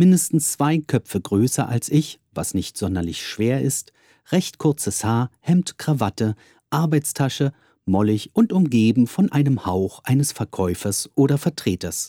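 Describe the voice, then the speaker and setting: A man with a dark, mellow tone and a medium pitch speaks at a fairly slow pace, his pitch swinging very widely. The recording is very clean with a silent background, and the sound is dry and close with no echo. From Berlin, Germany. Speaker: musician and podcaster. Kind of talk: scripted narration. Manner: formal.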